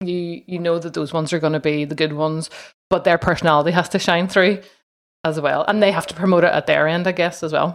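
A woman talks at a very fast pace in a fairly low pitch. Her intonation is monotone and flat. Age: 40s. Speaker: podcaster. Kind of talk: casual interview.

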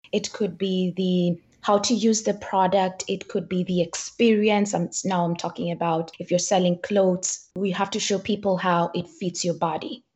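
A woman with a Kenyan accent talks at a moderate pace and a medium pitch. Her voice is somewhat breathy, and her intonation is fairly even. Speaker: business consultant. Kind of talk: podcast interview.

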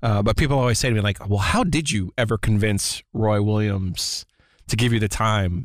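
A man with a fairly low voice talks at a fairly quick pace in an unremarkable speaking voice, with ordinary pitch variation, on a very clean recording with a silent background. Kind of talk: casual podcast chat.

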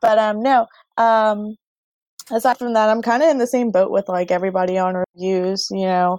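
A woman speaks at a moderate pace in an unremarkable speaking voice, her pitch fairly high with ordinary variation. The recording is very clean, with a silent background and a dry, close sound that has no echo. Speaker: podcast co-host, gamer. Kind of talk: casual chat about video games.

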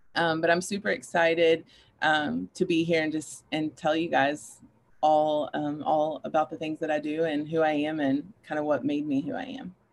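A woman with a very deep, low pitch speaks at a moderate pace with ordinary pitch variation. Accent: Kentucky. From Kentucky, Paducah. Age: 30s. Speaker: clinical counselor and life coach. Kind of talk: casual interview chat.

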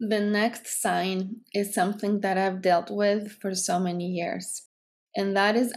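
Fairly slow, medium-pitched speech from a woman. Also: very clean recording, silent background. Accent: Greek. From Greece. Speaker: psychotherapist and podcast host. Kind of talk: solo podcast talk.

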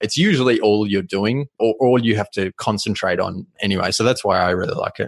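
In an Australian accent, a man with a fairly low pitch and ordinary pitch variation talks at a fairly quick pace with hardly any pauses, in a dry, close sound with no echo. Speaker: content agency founder. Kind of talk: interview.

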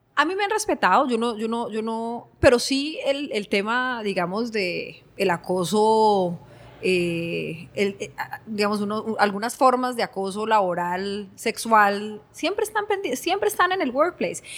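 Her fairly high, plain, everyday voice — a plain, everyday voice — carries lively intonation as the woman speaks at a fairly slow pace. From Colombia, Cali. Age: 40s. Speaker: innovation consultant. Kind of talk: interview conversation.

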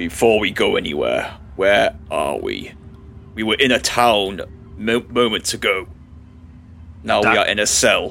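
A man's put-on character voice at a fairly slow pace, with long, frequent pauses and clear background noise. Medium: actual play.

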